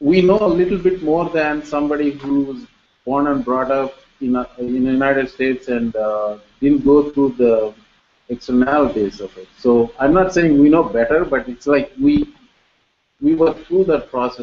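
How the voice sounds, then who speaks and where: Speaking with an Indian accent, a man uses a fairly high pitch and ordinary pitch variation. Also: moderate pace. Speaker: professor, panel moderator. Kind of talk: seminar panel introduction.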